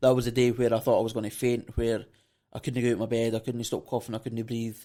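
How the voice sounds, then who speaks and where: A man speaks at a medium pitch with a Scottish accent, his tone dark and mellow. His intonation stays monotone and flat at a very fast pace. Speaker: podcast host. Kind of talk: casual interview.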